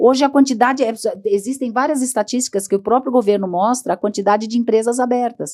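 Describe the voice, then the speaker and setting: Her pitch is high and her tone dark and mellow. The woman speaks at a very fast pace. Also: ordinary pitch variation. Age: 60s. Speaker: headhunter. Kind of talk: podcast interview. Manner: animated.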